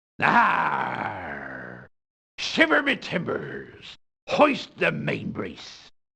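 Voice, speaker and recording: Doing a put-on character voice, a man rasps his way through the lines at a very slow pace. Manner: exaggerated, fake.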